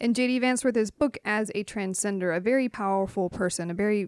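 A woman's plain, everyday voice at medium pitch, with ordinary pitch variation and a fairly quick pace, dry, close sound with no echo, and a very clean recording with a silent background. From US, Knoxville, Tennessee. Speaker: public historian, author. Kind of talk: interview.

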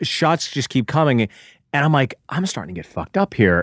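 A man with an American accent and a plain, everyday voice talks at a fairly quick pace with lively intonation. The sound is dry and close with no echo, on a very clean recording with a silent background. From Pittsburgh, US. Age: 40s. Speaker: comedian. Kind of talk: casual chat. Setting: studio.

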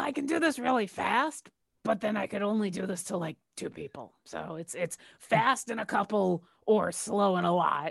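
A raspy, female-sounding put-on character voice at medium pitch for a woman moves along at a moderate pace. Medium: actual play. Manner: earnest, casual.

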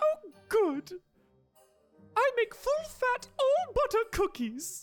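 A squeaky put-on character voice at an extremely high pitch moves at a very slow pace, with faint music in the background. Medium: actual play. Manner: warm, polite, slightly fussy.

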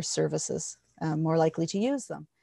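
A woman in a Canadian accent with a plain, everyday voice, fairly low pitch and moderate pace over a quiet background. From Ontario, Canada (Hastings County). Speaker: hypnotherapist and workshop facilitator. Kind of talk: interview.

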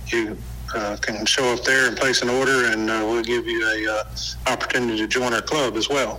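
The speaker talks in a flat monotone over noticeable background noise. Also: man, medium pitch for a man, moderate pace. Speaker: civic club representative. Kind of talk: radio interview answers. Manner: hesitant, filler-heavy.

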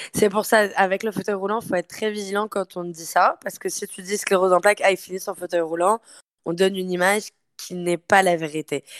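A woman at medium pitch, fairly even intonation with big swings in loudness, a fairly quick pace, a dry, close sound with no echo, and a very clean recording with a silent background. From France. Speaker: fitness coach. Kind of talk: casual interview.

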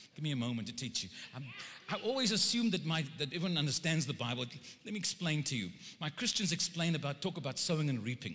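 Bright and sharp in tone, a man with a South African accent talks very fast in a fairly high voice with lively intonation. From South Africa (Cape Town). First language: Afrikaans. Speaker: preacher. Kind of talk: sermon. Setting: church. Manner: animated.

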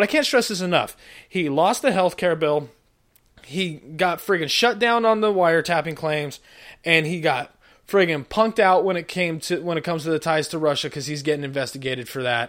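A man talks at a fairly quick pace with lively intonation, an animated tone and a high pitch. The recording is very clean, with a silent background. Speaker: podcast host. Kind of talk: stand-up-style comedic rant, self-deprecating riffs and political jokes. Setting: home recording, unedited, recorded live. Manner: animated, sarcastic, rambling with frequent verbal tics and self-interruptions.

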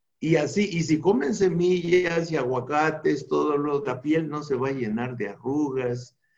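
In a normal speaking voice, a man talks fairly slowly with hardly any pauses. His pitch is fairly high, with ordinary pitch variation. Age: 60s. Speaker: anthropologist and natural medicine expert. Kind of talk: interview about health.

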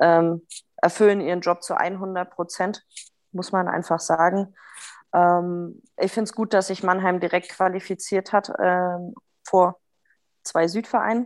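A woman speaks at a very slow pace at a medium pitch, her intonation monotone and flat, with long, frequent pauses. The recording is very clean, with a silent background. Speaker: co-host and ice hockey coach. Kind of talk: casual chat.

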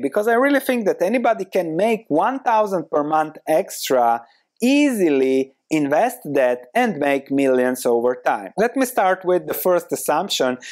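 A man with a Croatian accent, at a fairly slow pace with very wide pitch swings, on a very clean recording with a silent background. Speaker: podcast host and investor. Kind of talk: monologue, video/podcast talk on investing. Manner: motivational, earnest.

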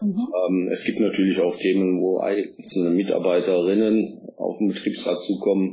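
Very even in loudness, a man speaks at a moderate pace with hardly any pauses. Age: 50s. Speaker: politician and works council chair. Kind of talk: interview. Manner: hesitant fillers.

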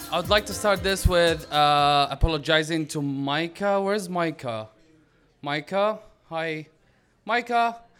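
A man with an Arabic accent speaks at a fairly slow pace with lively intonation, captured in a very clean recording with a silent background. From Syria, Damascus. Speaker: author and activist. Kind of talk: story reading to live audience. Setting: stage with audience. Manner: halting, self-interrupting.

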